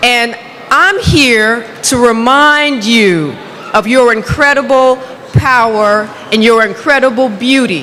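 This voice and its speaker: A woman speaks very slowly at a high pitch, with ordinary pitch variation and very even loudness. Audible room echo and noticeable background noise surround her. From United States. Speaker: hair expert and speaker. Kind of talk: motivational conference talk. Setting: stage with audience, interpreted. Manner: halting in French.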